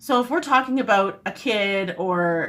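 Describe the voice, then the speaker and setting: A woman with an East Coast Canadian accent, medium pitch and lively intonation, with music in the background. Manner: sweet, doting.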